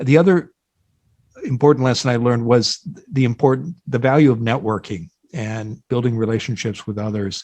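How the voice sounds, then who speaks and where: Here a man talks in an American accent at a medium pitch. His pace is moderate and the background is quiet. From US Midwest, Iowa. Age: 60s. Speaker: job board founder and career expert. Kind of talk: podcast interview.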